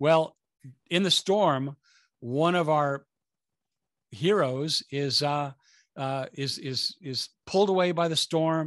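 A man with a fairly high voice and ordinary pitch variation speaks at a very slow pace. The sound is dry with no echo, against a quiet background. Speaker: movie talk show co-host. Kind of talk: talk show hosting. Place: home room. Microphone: studio mic.

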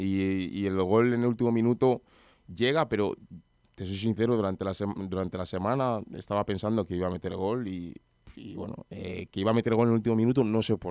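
A man talks at a fairly quick pace with fairly even intonation. His pitch is fairly low and his tone dark and mellow, with a dry, echo-free sound over a quiet background. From Madrid, Spain; Spain. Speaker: professional footballer; guest. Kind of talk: radio interview. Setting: radio studio. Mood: relaxed, modest. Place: studio. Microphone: studio mic.

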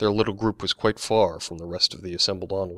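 Intonation stays fairly level throughout a natural reading voice.

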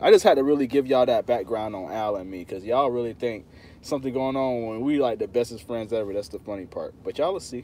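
A man talks at a very fast pace with ordinary pitch variation. His loudness swings widely over light background noise. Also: dry sound with no echo. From Florida. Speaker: lawn care YouTuber. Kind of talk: live stream casual talk. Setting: outdoors. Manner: animated. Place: car. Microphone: phone near.

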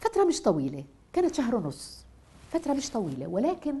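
A woman with a Nablus Palestinian accent speaks at a moderate pace in a dark, mellow tone, her pitch swinging very widely. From Palestine, Nablus; Palestine. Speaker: poet and writer; poet. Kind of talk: interview testimony. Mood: emotional, animated storytelling. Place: home room.

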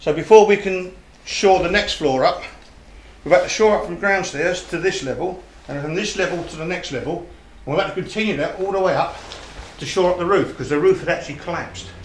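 A man talks at a very fast pace with a high pitch and ordinary pitch variation. Audible room echo and light background noise are present. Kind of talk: guided tour explanation. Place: empty room.

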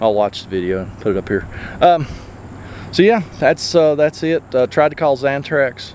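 With an Appalachian accent, a man speaks at a fairly high pitch with very wide pitch swings. Light background noise can be heard. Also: dry sound with no echo. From southern West Virginia. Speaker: RV repair technician and video host. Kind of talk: casual on-the-job narration. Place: open country. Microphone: phone near.

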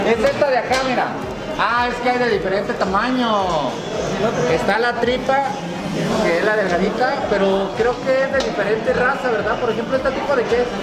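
A woman talks at a moderate pace with ordinary pitch variation. Crowd noise carries in the background. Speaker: food vlogger. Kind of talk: casual vlog chat. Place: market. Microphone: phone near.

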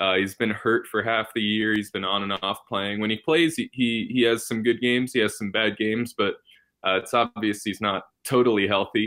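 With an American accent, a man speaks at a moderate pace and medium pitch in an unremarkable speaking voice, his intonation fairly even against a quiet background. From New York. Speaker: basketball fan. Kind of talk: casual chat.

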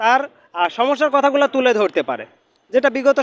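Using fairly even intonation, a man speaks at an extremely high pitch. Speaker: member of the public interviewed. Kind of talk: street interview.

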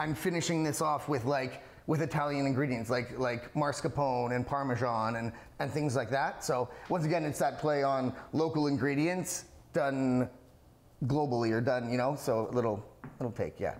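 A man speaks at a moderate pace with fairly even intonation. His loudness stays very even. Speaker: guest. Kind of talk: cooking demo conversation. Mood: friendly, relaxed, joking. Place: kitchen.

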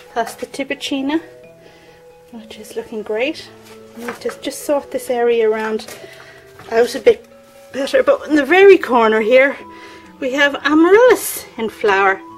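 With faint music in the background, a woman speaks at a high pitch and moderate pace, with big swings in loudness and long, frequent pauses. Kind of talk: casual vlog chat. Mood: cheerful, delighted. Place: garden. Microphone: phone near.

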